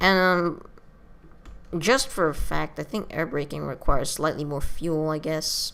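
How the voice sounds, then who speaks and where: Her very deep, low voice carries vocal fry as the woman speaks with ordinary pitch variation. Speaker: gaming video creator. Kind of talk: let's play commentary. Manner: halting, many fillers.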